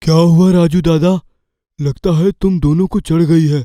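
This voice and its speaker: A man's put-on character voice, high-pitched, at a moderate pace with fairly even intonation. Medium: audio drama.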